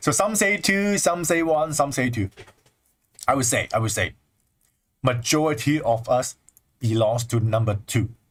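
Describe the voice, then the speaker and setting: A man with a Chinese accent speaks in an animated tone, his voice somewhat breathy, his pitch swinging very widely, his loudness very even, and his speech broken by long, frequent pauses. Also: medium pitch for a man, moderate pace. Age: 20s. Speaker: spiritual teacher. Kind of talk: livestream talk.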